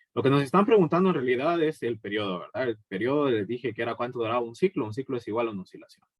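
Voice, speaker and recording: A man talks at a very fast pace. His medium-pitched voice has lively intonation. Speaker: physics teacher. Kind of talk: recorded lecture. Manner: hesitant, many fillers.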